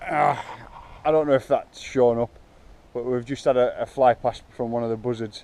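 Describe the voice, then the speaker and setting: The man's medium-pitched voice keeps fairly even intonation at a moderate pace. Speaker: bike park owner vlogger. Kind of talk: casual vlog walkthrough. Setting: outdoors in woods. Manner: halting, many fillers; talking quietly.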